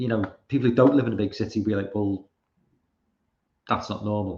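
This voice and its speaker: A man with a British accent speaks at a fairly quick clip, his voice fairly low and somewhat breathy. His intonation stays fairly even. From Britain. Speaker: live streamer. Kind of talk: casual commentary reading tweets. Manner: halting, repeated fillers.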